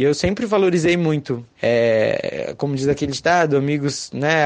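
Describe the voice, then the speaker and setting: An unremarkable speaking voice from a man, fairly high in pitch, at a moderate pace. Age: 20s. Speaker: listener contributor. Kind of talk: recorded testimony.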